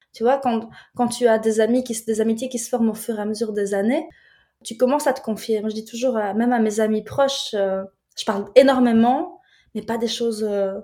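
With a dark, mellow tone and fairly high pitch, a woman talks at a moderate pace with fairly even intonation. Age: 30s. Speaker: videographer and film director. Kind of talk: casual chat.

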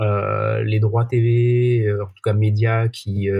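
A man's fairly low, somewhat breathy voice with fairly even intonation. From France, Marseille. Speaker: sports tech sales executive. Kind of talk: podcast interview. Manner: halting, many fillers.

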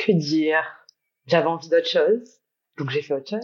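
Lively intonation in a woman's very low, deep voice. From Guadeloupe. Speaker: entrepreneur. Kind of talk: casual chat.

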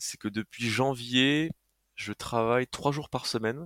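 In a very clean recording with a silent background and a dry, close sound with no echo, a man speaks with ordinary pitch variation. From France, Haute-Marne (rural north-east). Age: 20s. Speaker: adventurer and content creator. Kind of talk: casual interview conversation. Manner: hesitant, many fillers.

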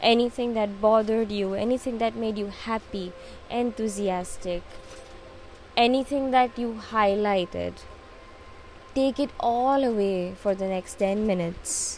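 With music in the background, a woman with an Indian accent speaks fairly slowly in a gentle, calm tone, her fairly high pitch held in fairly even intonation and broken by long, frequent pauses. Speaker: meditation guide. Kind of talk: guided meditation. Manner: calm, soothing, slow; gentle, unhurried.

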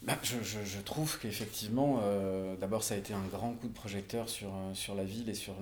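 A man's fairly low-pitched voice with fairly even intonation at a moderate pace, with audible room echo. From Marseille area, southern France. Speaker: actor and musician. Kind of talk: casual interview. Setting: on location, mic on wine crates. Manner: halting, frequent repetitions.

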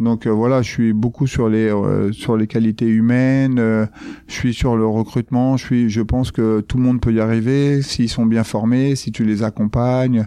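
This man's voice has a dark, mellow tone and a flat monotone. He keeps a fairly slow pace at very even loudness. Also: medium pitch for a man. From France, Paris suburbs (Grigny housing estates). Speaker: entrepreneur and former judoka. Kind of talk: interview. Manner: casual, hesitant with fillers.

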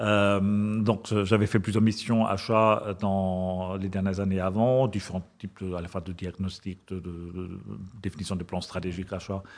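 Moderate-paced speech with a German accent against a quiet background. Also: man. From Germany. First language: German (speaking French). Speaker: corporate purchasing director. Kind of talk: interview. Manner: halting.

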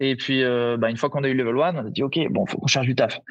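A man speaks at a fairly quick pace and a medium pitch against a quiet background. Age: 30s. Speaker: CrossFit gym owner. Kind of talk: casual interview. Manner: halting.

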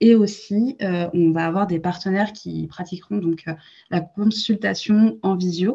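A woman with a somewhat breathy, dark and mellow voice at medium pitch talks very slowly with ordinary pitch variation over a quiet background. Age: 20s. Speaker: entrepreneur, co-founder of a postpartum gift brand. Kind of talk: interview. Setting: podcast recording.

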